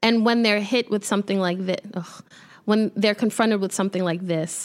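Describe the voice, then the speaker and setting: Recorded very cleanly against a silent background, a woman speaks at a medium pitch with a New York accent. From New York, Brooklyn (Midwood). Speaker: sports journalist. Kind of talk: casual chat. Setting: studio.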